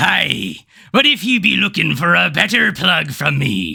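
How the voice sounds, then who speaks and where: Using a put-on character voice, a man sounds raspy at a medium pitch and a moderate pace. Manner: playful.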